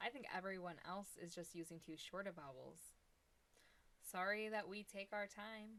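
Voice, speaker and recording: A woman with an Ohio accent and a bright, sharp tone leaves long, frequent pauses. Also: medium pitch for a woman, ordinary pitch variation, moderate pace. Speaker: product reviewer. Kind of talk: casual chat; product demo live stream. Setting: live stream. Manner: casual and chatty.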